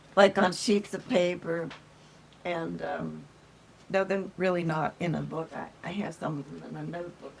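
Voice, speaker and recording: A woman talks at a moderate pace with big swings in loudness and long, frequent pauses, against noticeable background noise. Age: 80s+. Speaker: grandmother. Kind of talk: interview answer. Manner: hesitant, casual.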